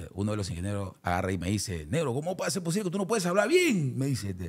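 Very fast and somewhat breathy, a man's voice makes very wide pitch swings on a very clean recording with a silent background. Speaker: salsa singer. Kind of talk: interview.

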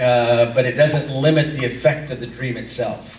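A man speaks with fairly even intonation. There is light background noise and audible room echo. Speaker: community group leader. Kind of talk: casual announcements and informal talk to a small group. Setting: in a room with a small group in person, playing video. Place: hall. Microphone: pa.

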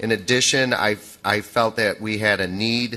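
A man with a plain, everyday voice speaks at a fairly low pitch with fairly even intonation. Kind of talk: public meeting presentation. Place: hall. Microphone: podium.

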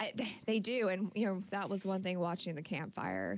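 A woman with an American accent at a moderate pace and ordinary pitch variation. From Northern California (Yuba City); California. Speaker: insurance agent; guest. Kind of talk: radio interview. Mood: calm, friendly. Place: studio. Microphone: studio mic.

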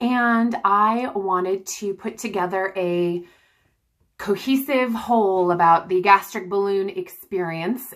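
The background stays quiet while a woman talks at a very slow pace. Her pitch variation is ordinary. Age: 30s. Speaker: mother vlogging about gastric balloon weight loss. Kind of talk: casual talk to camera. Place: home room. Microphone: phone near.

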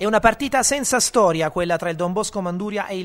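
An energetic, animated man's voice with lively intonation at a fairly quick pace. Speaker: sports commentator. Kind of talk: sports commentary voiceover. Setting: studio voiceover over highlight footage. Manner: fast, energetic, punchy narration with quips; animated, excited play-by-play delivery.

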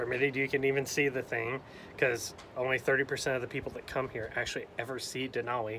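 Over light background noise, a man talks at a very fast pace in a flat, monotone delivery. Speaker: travel vlogger. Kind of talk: casual vlog chat. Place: open country. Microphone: phone near.

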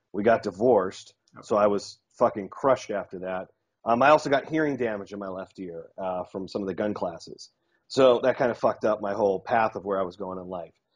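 A fairly low-pitched man at a fairly quick pace, with ordinary pitch variation, big swings in loudness, and a quiet background. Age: 30s. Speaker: dating coach and self-defense trainer. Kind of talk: casual interview chat. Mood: candid, reflective. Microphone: earbuds.

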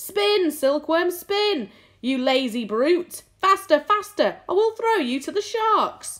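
Shouting in a put-on character voice, the speaker stays raised and projected at an extremely high pitch and a fairly slow pace. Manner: frantic, shouting; bullying.

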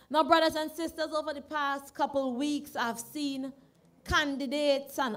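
A woman with a high voice speaks at a fairly slow pace. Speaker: candidate. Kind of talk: campaign rally speech. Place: stage. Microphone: studio mic.

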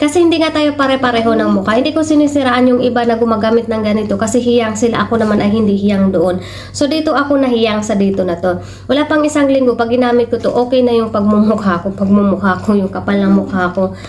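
With a strong Mindanao accent, a woman talks at a very fast pace and a fairly high pitch, with hardly any pauses and ordinary pitch variation. Her loudness stays very even over noticeable background noise. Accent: strong Tiruray accent in Tagalog. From Philippines, Mindanao (Tiruray people). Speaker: vlogger, overseas domestic worker. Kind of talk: casual vlog. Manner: halting, stumbles over words.

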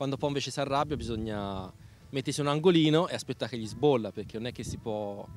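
Over light background noise, a man talks at a very fast pace with ordinary pitch variation, the sound dry with no echo. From Italy, mountain village. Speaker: former soldier turned boat tour operator. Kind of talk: interview; interview answer. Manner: halting. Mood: earnest, somewhat concerned. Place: waterside. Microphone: handheld.

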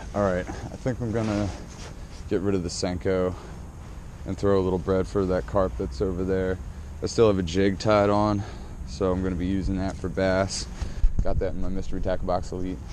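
A man with a very deep, low voice speaks at a fairly quick pace, the sound dry with no echo but with noticeable background noise. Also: ordinary pitch variation. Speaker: fishing vlogger. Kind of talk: casual vlog chat. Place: waterside. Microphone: phone near.

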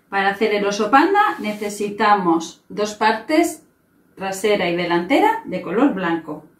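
Audible room echo surrounds the recording. A woman speaks at a fairly slow pace. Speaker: presenter. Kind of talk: tutorial. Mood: cheerful, warm. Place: home room. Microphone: camera far.

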